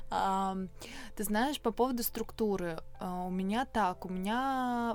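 On a very clean recording with a silent background, a woman speaks at a medium pitch with fairly even intonation in a plain, everyday voice. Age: 20s. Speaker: wellness entrepreneur and yoga teacher. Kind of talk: casual interview chat. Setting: in person, face to face.

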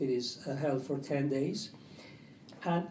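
A man with a Persian accent speaks very slowly in a dark, mellow tone, with audible room echo around him. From Iran. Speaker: publisher and translator. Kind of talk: panel discussion. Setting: stage with audience at book fair.

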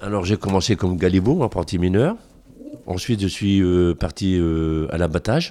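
At a fairly quick pace, a man speaks with a dark, mellow tone and ordinary pitch variation in a very clean recording with a silent background. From northern France. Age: 60s. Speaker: retired coal miner and museum guide. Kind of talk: interview testimony.

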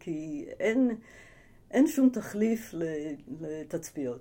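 A woman speaks at a very slow pace, her dark, mellow tone carried by lively intonation. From United States, moved to Israel at eight. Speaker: ecologist professor. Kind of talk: interview. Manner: hesitant with fillers.

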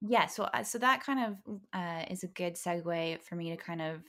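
On a very clean recording with a silent background, a woman with a Californian accent speaks at a fairly slow pace, her fairly low pitch showing ordinary pitch variation. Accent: Californian American. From Los Angeles suburbs (Valencia). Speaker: podcast host, ex-ballerina, digital producer. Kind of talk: casual chat.

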